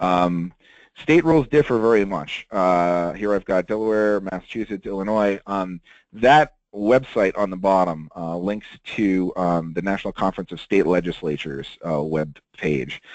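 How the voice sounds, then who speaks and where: Against a quiet background, a man speaks in a very deep, low voice with ordinary pitch variation, the sound dry and close with no echo. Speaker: webinar presenter on lobbying rules. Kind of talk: webinar presentation. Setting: webinar. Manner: fast; many filler words (um, uh).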